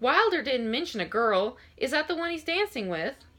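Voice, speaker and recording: A woman puts on a gruff character voice at a high pitch. Her pitch swings very widely at a moderate pace. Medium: read story. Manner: gruff yet kind.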